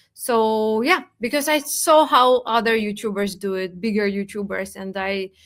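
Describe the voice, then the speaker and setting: Lively in intonation, a woman with a non-native accent speaks at a fairly high pitch on a very clean recording with a silent background. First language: not English. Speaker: crypto content creator. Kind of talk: podcast interview. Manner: halting, with hesitations.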